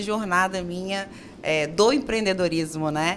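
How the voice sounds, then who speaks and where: A woman's medium-pitched voice proceeds at a fairly slow pace. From Brazil, Minas Gerais. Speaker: architect and business owner. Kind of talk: interview.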